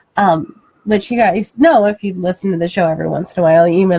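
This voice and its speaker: Somewhat breathy and fairly low-pitched, a woman speaks at a very fast pace with fairly even intonation. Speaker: paranormal radio show co-host. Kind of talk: casual chat. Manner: soft-spoken. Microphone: moves away from the mic, too quiet.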